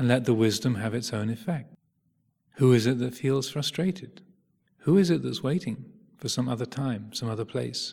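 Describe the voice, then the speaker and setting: This man's voice has a dark, mellow tone, a somewhat breathy quality, and ordinary pitch variation. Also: medium pitch for a man. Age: 50s. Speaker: Buddhist meditation teacher. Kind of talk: dharma talk. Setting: meditation retreat. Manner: slow.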